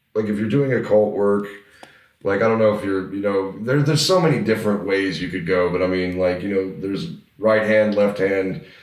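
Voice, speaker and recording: The speaker goes at a fairly quick pace with ordinary pitch variation. An audible room echo surrounds the voice. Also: man, fairly low pitch for a man. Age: 30s. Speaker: metal band vocalist. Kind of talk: casual chat. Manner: animated.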